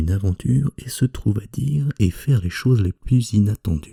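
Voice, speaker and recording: A man whispers, somewhat breathy, in a dry, close recording with no echo. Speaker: ASMR creator. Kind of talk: reading aloud. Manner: whispering.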